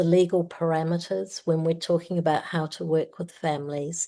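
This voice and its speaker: In a New Zealand accent, a woman speaks at a fairly low pitch with a dark, mellow tone and monotone, flat intonation against a quiet background. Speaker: family mediator. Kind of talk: conference talk.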